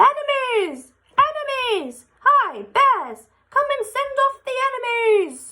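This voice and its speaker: In a put-on character voice, a woman shouts loudly at a fairly slow pace, her squeaky, extremely high pitch showing ordinary pitch variation. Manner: loud, shouting.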